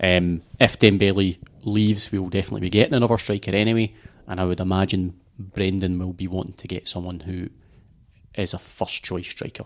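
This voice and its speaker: With a Glasgow accent, a man speaks fairly quickly in a very deep, low pitch. His intonation is monotone and flat, and the recording is very clean with a silent background. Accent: Scottish, Glasgow. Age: 30s. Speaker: football podcast panelist. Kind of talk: casual chat.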